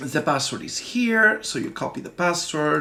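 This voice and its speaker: In an Italian accent, the voice comes at a fairly slow pace with a bright, sharp tone. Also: man. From Italy. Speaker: software developer and tech tutorial presenter. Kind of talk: tutorial. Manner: casual, halting with fillers.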